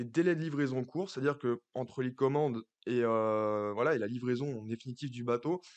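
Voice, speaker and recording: A fairly quick pace with ordinary pitch variation, over a quiet background. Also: man. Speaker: finance youtuber. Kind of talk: stock analysis monologue. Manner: hesitant, many fillers.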